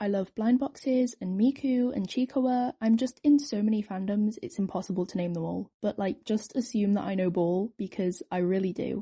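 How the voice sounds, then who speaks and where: A woman with a British accent speaks at a moderate pace, with hardly any pauses. Her voice is fairly high in pitch and somewhat breathy, with ordinary pitch variation. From Britain. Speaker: artist and new video maker. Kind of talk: casual commentary over drawing. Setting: at home by a window. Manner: rambling, hesitant with many fillers.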